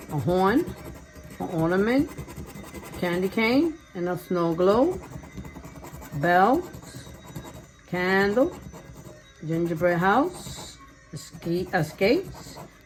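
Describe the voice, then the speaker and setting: Over music in the background, a woman with a medium pitch speaks at a very slow pace. Her intonation is lively, with long, frequent pauses. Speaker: lottery scratch-off video creator. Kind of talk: casual scratch-off commentary.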